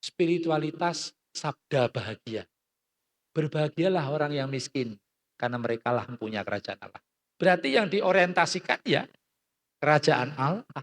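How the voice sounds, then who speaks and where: A man's fairly high voice, animated in tone, with lively intonation, big swings in loudness, a moderate pace and a dry, close sound with no echo. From Central Java (Klaten). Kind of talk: talk.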